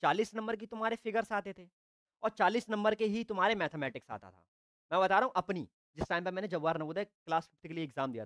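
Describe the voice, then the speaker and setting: Over a quiet background, a man speaks at a high pitch with ordinary pitch variation and big swings in loudness. His voice sounds dry, with no echo. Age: 20s. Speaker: online tutor. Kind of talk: live online class. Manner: animated. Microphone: lapel.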